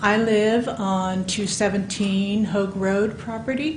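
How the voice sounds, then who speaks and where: Amid audible room echo and noticeable background noise, a woman with an American accent speaks at a fairly high pitch with ordinary pitch variation. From California Central Valley. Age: 60s. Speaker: public commenter, local resident. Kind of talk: public comment at a commission meeting. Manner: halting.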